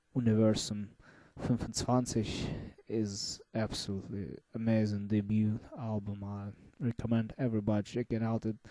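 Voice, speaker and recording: A man with a dark, mellow tone, fairly low pitch and a non-native accent, over a quiet background. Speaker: music reviewer. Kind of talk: casual monologue review. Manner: slow; halting.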